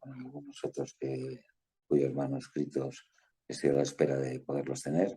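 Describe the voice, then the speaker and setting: A man's very deep, low voice with a dark, mellow tone and a Madrid accent. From Spain, Madrid. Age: 60s. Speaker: lawyer and author. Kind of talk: interview.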